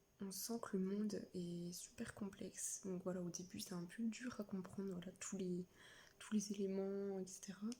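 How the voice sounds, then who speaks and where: A soft-spoken woman, somewhat breathy, with a dark, mellow tone, medium pitch, monotone, flat intonation and a fairly slow pace. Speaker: book vlogger. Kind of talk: casual vlog. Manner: hesitant, many fillers.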